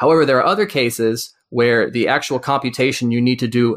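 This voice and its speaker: At a fairly quick pace, a man with an American accent speaks at a medium pitch in a very clean recording with a silent background. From US South, rural Georgia. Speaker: software developer. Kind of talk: podcast interview.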